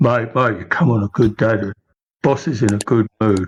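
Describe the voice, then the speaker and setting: In a put-on character voice, a man speaks at a moderate pace and medium pitch. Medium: actual play. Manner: casual, blunt, calls everyone mate.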